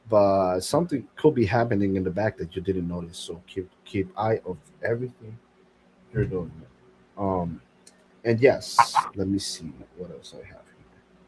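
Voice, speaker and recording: A man with a fairly low pitch talks at a moderate pace in a somewhat breathy voice, his pitch varying in an ordinary way, his loudness swinging widely, and his speech broken by long, frequent pauses. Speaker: podcast host. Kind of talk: casual chat. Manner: halting.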